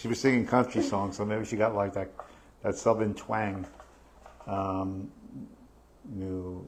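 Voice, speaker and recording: Speaking at a fairly slow pace with long, frequent pauses, a man with a New York accent has a fairly low, monotone, flat voice. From New York, Staten Island. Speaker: real estate podcast host. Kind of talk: live podcast discussion. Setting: live stream. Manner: halting, many fillers.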